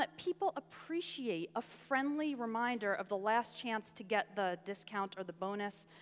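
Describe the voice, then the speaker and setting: Speaking with an American accent, a woman uses a fairly high pitch with very wide pitch swings. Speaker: online entrepreneur and English teacher. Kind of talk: conference talk. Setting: stage with audience. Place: stage.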